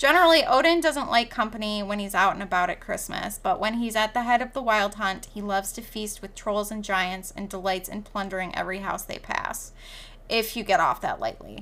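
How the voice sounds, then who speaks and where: Bright and sharp in tone, a woman with a Midwestern American accent speaks at a fairly quick pace and fairly high pitch, her intonation lively. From US Midwest, northern Michigan. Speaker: podcast co-host. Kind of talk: reading aloud.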